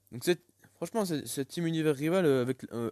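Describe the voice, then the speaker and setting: A man speaks in a dark, mellow tone with ordinary pitch variation. The very clean recording has a silent background and a dry, close sound with no echo. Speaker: gaming YouTuber. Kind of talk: gameplay commentary. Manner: stammering, halting; casual, animated.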